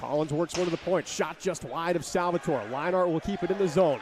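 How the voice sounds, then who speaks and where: A man's energetic voice at a moderate pace, with noticeable background noise. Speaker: sports broadcaster. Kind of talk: ice hockey play-by-play. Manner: energetic, clear.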